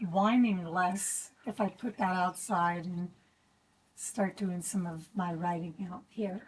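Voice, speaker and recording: A woman with a somewhat breathy voice speaks at a very slow pace. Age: 60s. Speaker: yoga instructor. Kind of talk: guided exercise class. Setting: outdoors on a deck. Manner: gentle.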